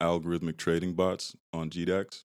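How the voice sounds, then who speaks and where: A man's very deep, low voice in an American accent, with monotone, flat intonation. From Massachusetts, Brockton. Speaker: tech founder and hip-hop artist. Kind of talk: podcast interview. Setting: studio.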